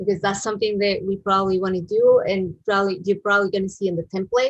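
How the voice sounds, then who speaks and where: A woman talks at a very fast pace in a medium pitch. Her delivery is flat and monotone, and somewhat breathy. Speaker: web design instructor. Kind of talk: live-streamed coding tutorial. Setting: live stream. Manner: halting, with many fillers.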